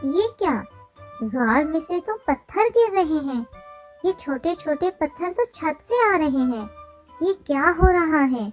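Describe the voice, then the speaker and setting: A cartoonish character voice comes through over faint music in the background. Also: moderate pace. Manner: fretful, exclamatory.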